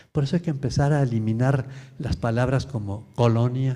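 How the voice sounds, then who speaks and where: A man's medium-pitched, somewhat breathy voice with a dark, mellow tone. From Mexico. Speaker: lecturer. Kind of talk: Q&A after lecture.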